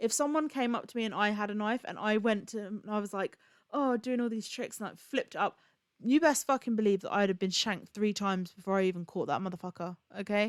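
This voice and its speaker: A woman's animated, very fast voice with fairly high pitch and ordinary pitch variation, dry and close with no echo on a very clean recording with a silent background. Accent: Bedfordshire. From England, Luton. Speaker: streamer. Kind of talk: casual chat.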